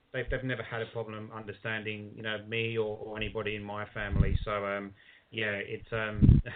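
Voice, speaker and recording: A man at a fairly quick pace with a medium pitch, over noticeable background noise. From southern England, London. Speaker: sports analyst. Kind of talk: casual interview.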